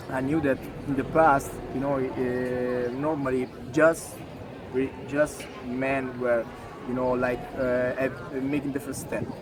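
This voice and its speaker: A man speaks at a very slow pace in a monotone, flat voice, leaving long, frequent pauses. Audible room echo and noticeable background noise surround him. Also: medium pitch for a man. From Italy. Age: 20s. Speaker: interviewee sharing his culture. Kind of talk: interview. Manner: halting, many fillers.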